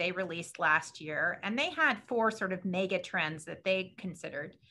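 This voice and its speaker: A woman with a bright, sharp tone speaks at a moderate pace, her pitch varying in an ordinary way. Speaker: research park director and moderator. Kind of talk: moderated online panel. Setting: video call. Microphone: video call.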